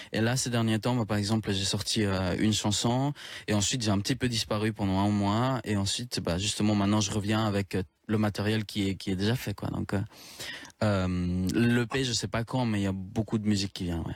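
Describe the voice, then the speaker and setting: This very clean recording has a silent background. A man talks at a fairly quick pace, his fairly low voice held in fairly even intonation. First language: Spanish (speaking French). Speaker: singer-songwriter. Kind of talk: radio interview.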